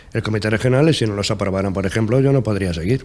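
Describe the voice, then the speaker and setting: A man with a plain, everyday voice, medium pitch and ordinary pitch variation. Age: 60s. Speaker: trade union leader. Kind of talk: TV interview.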